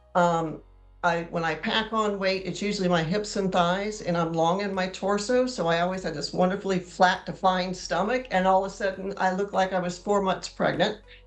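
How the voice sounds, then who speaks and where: A woman at a medium pitch, fairly quick and with hardly any pauses, her intonation fairly even, over noticeable background noise. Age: 60s. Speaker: interview guest sharing menopause weight-loss story. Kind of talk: interview. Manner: hesitant, many fillers.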